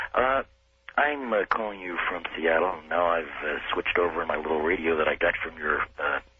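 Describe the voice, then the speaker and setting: A man's very deep, low voice comes through noticeable background noise as he talks at a moderate pace. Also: ordinary pitch variation. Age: 60s. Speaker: caller. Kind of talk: call-in radio discussion. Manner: hesitant, many fillers.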